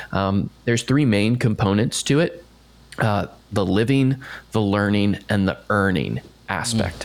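A man with an American accent speaks at a fairly slow pace with ordinary pitch variation in an unremarkable speaking voice. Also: fairly low pitch for a man. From US, Maryland near D.C. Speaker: marketer and former theme park worker. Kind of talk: casual interview chat.

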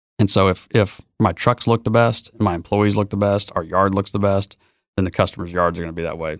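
Speaking fairly quickly with an American accent, a man uses a normal speaking voice at a fairly low pitch. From Texas, Dallas. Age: 40s. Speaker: entrepreneur. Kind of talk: casual chat.

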